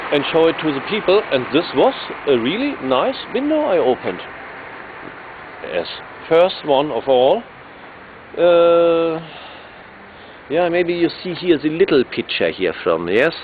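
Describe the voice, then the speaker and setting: A man with a German accent speaks fairly slowly at a high pitch, leaving long, frequent pauses. Noticeable background noise runs behind him. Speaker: electric vehicle racer and activist. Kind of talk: video presentation. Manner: halting, many fillers.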